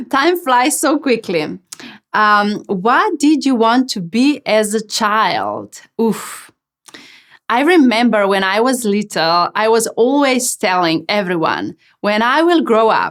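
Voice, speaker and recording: Speaking very slowly, a woman uses a Slovenian accent. Her pitch is fairly high and her intonation lively. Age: 30s. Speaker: channeling medium, podcast host. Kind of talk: Q&A monologue. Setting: podcast. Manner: casual, hesitant with fillers.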